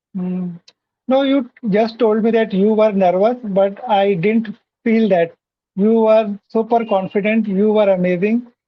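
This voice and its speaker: The speaker has an Indian accent. The pace is fairly slow. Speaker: English learner, interviewer guest. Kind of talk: casual interview chat. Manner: halting, many fillers.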